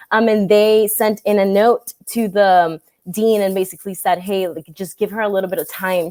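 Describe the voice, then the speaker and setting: A woman with a Spanish accent speaks at a medium pitch and moderate pace, with ordinary pitch variation and a dark, mellow tone, in a dry, close sound with no echo. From Latin America, born in Venezuela, raised in several countries. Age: 20s. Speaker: marketing agency founder. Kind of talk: interview. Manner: casual, filler-heavy.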